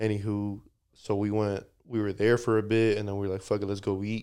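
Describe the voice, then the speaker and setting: An American accent from a man, on a very clean recording with a silent background. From United States, Mexican family. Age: 20s. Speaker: podcast guest. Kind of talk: casual chat.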